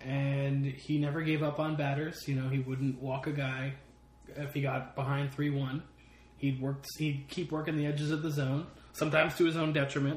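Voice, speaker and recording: Somewhat breathy, a man speaks at a fairly high pitch with monotone, flat intonation. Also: moderate pace. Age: 30s. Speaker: sports podcast co-host. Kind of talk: casual chat. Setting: home.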